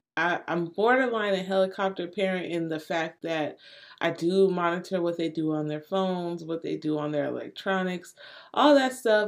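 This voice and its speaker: A woman with a fairly low voice speaks at a moderate pace in a very clean recording with a silent background. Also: ordinary pitch variation. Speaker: podcast host, mother. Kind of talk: casual solo podcast talk. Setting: home recording, wind audible outside. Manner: calm, even delivery.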